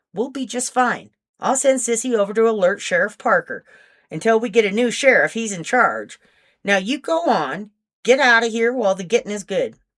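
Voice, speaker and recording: Using a put-on character voice, a woman speaks at a moderate pace with a fairly high pitch and ordinary pitch variation. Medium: read story. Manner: firm, commanding.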